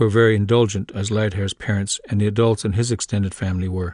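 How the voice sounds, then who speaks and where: Against a quiet background, a man with a Lakota accent speaks at a fairly quick pace. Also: dry, close sound with no echo. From South Dakota Lakota reservation. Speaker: author narrating his own book. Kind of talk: audiobook reading.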